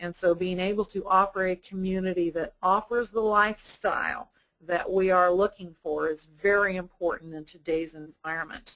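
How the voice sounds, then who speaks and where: A woman's plain, everyday voice at medium pitch, fairly even in intonation, at a moderate pace. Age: 60s. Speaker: sales director at a retirement community. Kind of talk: webinar presentation. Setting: online webinar.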